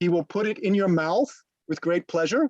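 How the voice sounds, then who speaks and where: High-pitched for a man, this male voice moves fairly quickly in a dry, close sound with no echo. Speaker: journalist and English teacher. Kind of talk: webinar talk answering audience questions.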